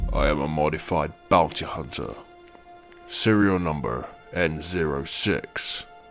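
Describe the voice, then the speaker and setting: A put-on character voice moves at a fairly slow pace over clear music in the background. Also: man, very deep, low pitch for a man. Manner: flat, emotionless.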